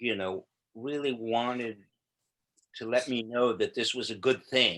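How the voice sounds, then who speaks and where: A man speaks at a medium pitch with a bright, sharp tone and fairly even intonation. His fairly slow delivery comes through on a very clean recording with a silent background. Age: 60s. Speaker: poet. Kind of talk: casual discussion.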